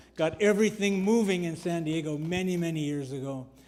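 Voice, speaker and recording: Ordinary pitch variation from a man's voice, with audible room echo. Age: 70s. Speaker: church member giving testimony. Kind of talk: testimony. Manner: halting, many fillers.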